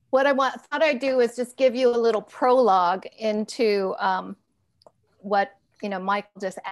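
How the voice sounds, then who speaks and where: Music plays in the background. A woman speaks at a moderate pace with ordinary pitch variation. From Hawaii. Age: 60s. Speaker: filmmaker. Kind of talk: casual chat. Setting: video call.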